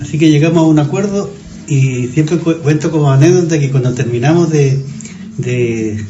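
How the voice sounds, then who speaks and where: A man speaks at a fairly quick pace in a fairly high pitch. Audible room echo and noticeable background noise surround his voice. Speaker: neighbourhood resident, former industrialist. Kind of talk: casual reminiscing interview. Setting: café. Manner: halting, repeats words.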